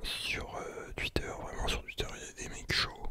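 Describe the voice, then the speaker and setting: A very slow whisper against noticeable noise in the background. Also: man. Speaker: ASMR content creator. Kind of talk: casual talk to camera, trading commentary. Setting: home studio with Blue Yeti microphone.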